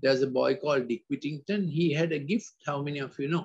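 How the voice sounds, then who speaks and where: A man talks at a moderate pace, somewhat breathy. The background is quiet. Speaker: preacher or talk giver. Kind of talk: sermon. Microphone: video call.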